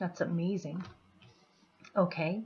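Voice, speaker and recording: A soft-spoken woman talks at a fairly low pitch and a fairly slow pace. Her voice is somewhat breathy and her intonation monotone and flat. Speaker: tarot reader. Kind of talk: tarot reading for viewers.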